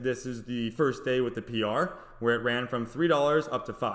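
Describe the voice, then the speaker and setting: A man with a medium pitch talks at a fairly quick pace. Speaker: stock trader. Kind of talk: tutorial. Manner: fast.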